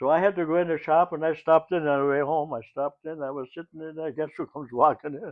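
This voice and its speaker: A man with a German accent at a very fast pace, fairly high in pitch, with fairly even intonation. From Germany. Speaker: WWII eyewitness. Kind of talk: interview. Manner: halting.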